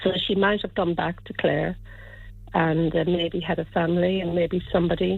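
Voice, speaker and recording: A woman's fairly low, monotone, flat voice at a moderate pace. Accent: Irish. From Ireland, County Kilkenny. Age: 70s. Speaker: listener seeking lost friend. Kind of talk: radio interview. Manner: halting, many fillers and repeats.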